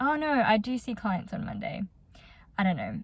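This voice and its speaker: A woman speaks at a moderate pace with an Australian accent, her fairly high, somewhat breathy voice showing ordinary pitch variation. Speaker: psychology student vlogger. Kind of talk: casual vlog talk. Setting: in a car.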